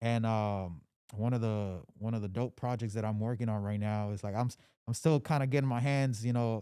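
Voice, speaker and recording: On a very clean recording with a silent background, a man with a dark, mellow tone and medium pitch speaks at a fairly quick pace with fairly even intonation. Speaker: music artist and DJ. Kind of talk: casual podcast interview.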